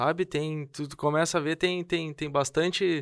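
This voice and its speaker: Against a quiet background, a man with a fairly high pitch speaks very slowly in a monotone, flat intonation. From southern Brazil, Rio Grande do Sul. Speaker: podcast host. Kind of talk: interview conversation.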